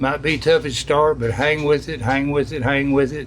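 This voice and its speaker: With noticeable background noise behind him, a man talks at a fairly slow pace in a fairly high pitch. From US South, East Tennessee (Johnson City). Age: 80s+. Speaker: business owner. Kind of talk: interview. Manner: halting, repeats words.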